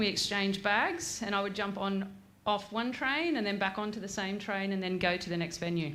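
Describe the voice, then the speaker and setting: Speaking in an Australian accent at a medium pitch, a woman talks with hardly any pauses amid audible room echo and noticeable background noise. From Australia, Grafton NSW. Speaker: former national soccer player and gym owner. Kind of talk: after-dinner speech. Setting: stage at awards night with audience.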